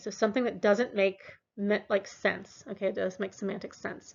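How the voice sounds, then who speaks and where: A woman speaks at medium pitch in a normal speaking voice, her intonation fairly even. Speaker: university lecturer. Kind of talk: lecture.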